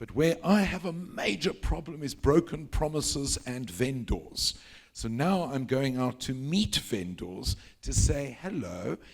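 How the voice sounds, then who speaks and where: A man talks at a fairly slow pace in a fairly high pitch with vocal fry. His pitch swings very widely. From South Africa. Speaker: panel speaker, real estate executive. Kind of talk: panel discussion.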